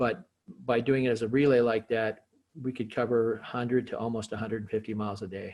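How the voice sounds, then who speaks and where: Very fast in pace, a man speaks at medium pitch with fairly even intonation. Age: 60s. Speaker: skateboarder. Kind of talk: casual interview.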